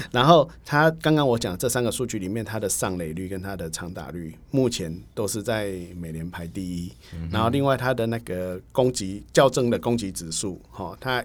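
An ordinary speaking voice moves at a moderate pace with lively intonation and hardly any pauses. The recording is very clean, with a silent background. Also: man, fairly low pitch for a man. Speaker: baseball writer and magazine editor. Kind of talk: casual interview chat.

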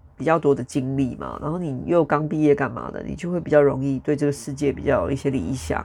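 A woman's very deep, low-pitched voice with vocal fry, a very fast pace, hardly any pauses, ordinary pitch variation and big swings in loudness. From Taiwan, Taichung. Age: 40s. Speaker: podcast host. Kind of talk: casual solo monologue. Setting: home recording with traffic noise in background.

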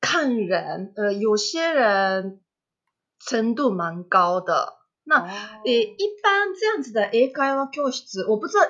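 Her fairly high pitch swings very widely as this woman speaks at a very slow pace. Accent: Japanese. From Japan, Kobe (Kansai). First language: Japanese (speaking Chinese). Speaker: language teacher. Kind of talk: interview. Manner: halting, many fillers.

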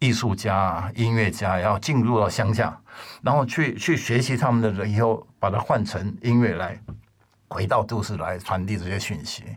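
Fairly low in pitch and somewhat breathy, a man talks at a moderate pace. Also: ordinary pitch variation. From Taiwan. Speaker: record label founder. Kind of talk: casual chat.

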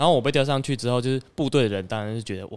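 Recorded very cleanly with a silent background, a man speaks at medium pitch with ordinary pitch variation. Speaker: government agency social media editor and illustrator. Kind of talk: casual chat.

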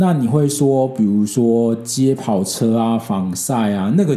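A man with a Taiwanese accent talks fairly slowly at medium pitch in a dark, mellow tone. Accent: Taiwanese Mandarin. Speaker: podcast host. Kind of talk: casual solo podcast talk. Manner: hesitant, frequent fillers.

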